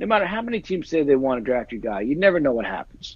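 Pitch swinging very widely, a man speaks at a very fast pace in a dry recording with no echo. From New Jersey. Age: 40s. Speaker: NFL agent and actor; actor. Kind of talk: casual chat. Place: home room. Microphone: earbuds.

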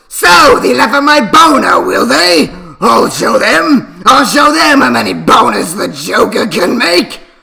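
A man shouting in a high-pitched, put-on character voice at a fairly slow pace. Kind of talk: comic overacting. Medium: solo performance. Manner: gloating, theatrical villain.

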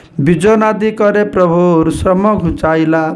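A man speaks with a high pitch and ordinary pitch variation. Audible room echo and noticeable background noise surround his voice. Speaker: monk giving scripture lectures. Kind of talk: religious scripture lecture.

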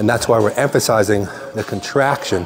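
A man talks at a moderate pace, with clear music in the background. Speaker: bodybuilding coach. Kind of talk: tutorial. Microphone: lapel.

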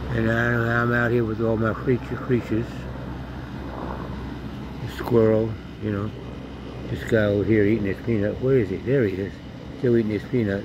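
Amid noticeable background noise, a man talks at a moderate pace with fairly even intonation and long, frequent pauses. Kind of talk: casual narration of wildlife. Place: garden. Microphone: phone near.

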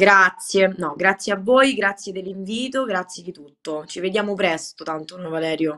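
A woman talks at a moderate pace in a bright, sharp tone. Her loudness swings widely against a quiet background. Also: medium pitch for a woman, ordinary pitch variation. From Rome, Italy; Italy. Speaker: Muay Thai fighter; guest. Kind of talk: interview. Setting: video call. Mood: calm, grateful. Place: home room. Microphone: video call.

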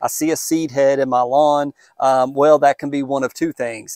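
A man talks at a moderate pace with fairly even intonation. The sound is dry with no echo, and the background is quiet. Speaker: lawn care channel host. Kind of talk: tutorial. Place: garden. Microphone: lapel.

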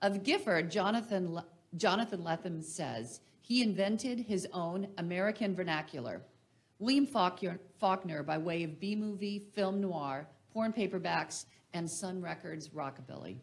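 Intonation is lively and the voice is somewhat breathy. The pace is moderate. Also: woman, medium pitch for a woman. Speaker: literary festival organizer. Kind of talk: introductory speech. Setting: stage with audience.

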